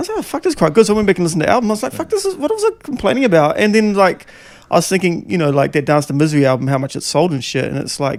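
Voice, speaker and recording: A man talks at a very fast pace. He speaks with a New Zealand accent. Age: 40s. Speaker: podcast host and former rapper. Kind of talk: casual chat. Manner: halting.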